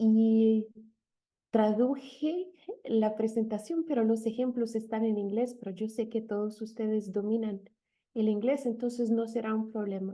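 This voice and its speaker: The speaker has a non-native accent and a fairly slow pace. Intonation stays fairly even. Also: woman. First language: not Spanish (speaking Spanish). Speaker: linguist. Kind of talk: lecture. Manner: halting, many fillers.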